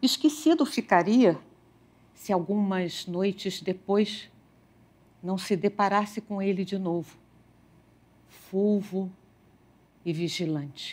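A woman's medium-pitched voice with lively intonation, a very slow pace, and long, frequent pauses. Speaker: storyteller. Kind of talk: fairy-tale narration, read aloud. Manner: measured, storytelling pace; dreamy, expressive. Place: studio. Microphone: headset.

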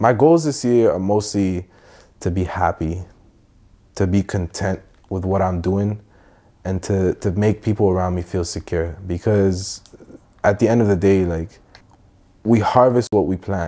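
A man speaks with a Toronto accent, his pitch fairly low and his tone dark and mellow. He talks at a fairly slow pace with long, frequent pauses. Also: ordinary pitch variation. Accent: Toronto urban English. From Middle East, then Toronto from age 14. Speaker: musician; guest. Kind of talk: casual chat. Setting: playing video games during interview. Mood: calm, reflective. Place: home room. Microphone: lapel.

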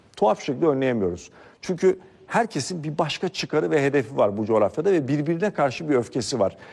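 Using a fairly high pitch with very wide pitch swings and vocal fry, a man talks at a fairly quick pace. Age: 40s. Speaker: political commentator. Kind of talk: political commentary monologue.

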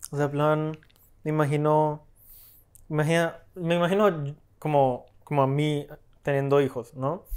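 Against a quiet background, a man talks at a fairly slow pace with long, frequent pauses. His pitch is fairly high and his intonation fairly even. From Colombia. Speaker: film editor, film school graduate; podcast guest. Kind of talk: casual chat. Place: home room. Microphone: lapel.

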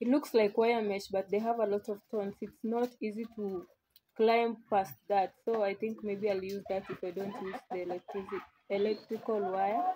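A woman speaks at a moderate pace in a dark, mellow tone of medium pitch. Her intonation is fairly even, with light background noise. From Kenya. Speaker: vlogger. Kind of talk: casual vlog narration. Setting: outdoors at rural home. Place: open country. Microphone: phone near.

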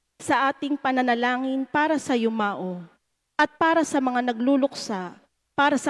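Against a quiet background, a woman talks at a high pitch and a fairly slow pace, with ordinary pitch variation. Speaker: lector reading petitions; lay reader at Mass. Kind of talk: fervent prayer, intercessions read aloud. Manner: earnest, measured, pleading. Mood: solemn, earnest. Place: church. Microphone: handheld.

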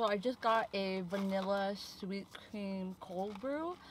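A woman talks at a medium pitch. Behind her, noticeable background noise can be heard. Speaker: vlogger. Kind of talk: casual vlog talk to camera.

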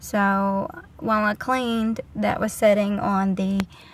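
Somewhat breathy and fairly even in intonation, a woman speaks at a fairly slow pace in a dry sound with no echo. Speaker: vlogger. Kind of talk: casual vlog chat. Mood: relaxed, cheerful. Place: car. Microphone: phone near.

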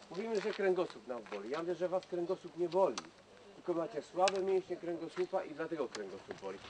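Against noticeable background noise, a man speaks very fast with a high pitch and ordinary pitch variation. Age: 50s. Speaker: Nordic walking champion and instructor; instructor. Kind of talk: outdoor instruction to a group. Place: forest. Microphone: camera far.

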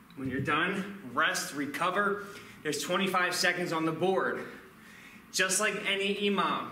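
A man with an American accent and a high pitch speaks at a fairly slow pace, with audible room echo and light background noise. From Philadelphia, US. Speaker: kettlebell fitness instructor. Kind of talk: live follow-along workout coaching with timed countdown cues. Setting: gym or home studio, on camera. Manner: energetic hype-style motivator, punchy commands; casual, chatty asides between sets. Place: gym.

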